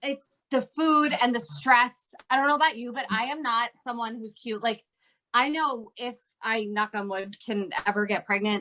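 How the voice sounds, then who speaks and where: A woman talks in a normal speaking voice with an American accent. Her pitch is fairly high, with ordinary variation, and her pace is moderate. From New Jersey. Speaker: comedian and actor. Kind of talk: interview answer. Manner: casual, chatty.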